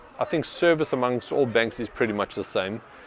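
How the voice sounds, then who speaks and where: The man has a normal speaking voice with medium pitch and ordinary pitch variation. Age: 40s. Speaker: business owner. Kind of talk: market research interview.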